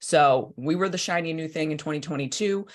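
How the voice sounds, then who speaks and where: The woman's pitch is very deep and low, with ordinary variation. She keeps a moderate pace against a quiet background. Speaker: state senator. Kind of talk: political update to party members. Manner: animated.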